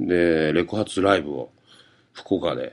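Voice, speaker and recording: A man talks at a fairly slow pace. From Fukuoka, Japan. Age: 40s. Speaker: comedian. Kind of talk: solo radio-style monologue. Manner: casual, filler-heavy.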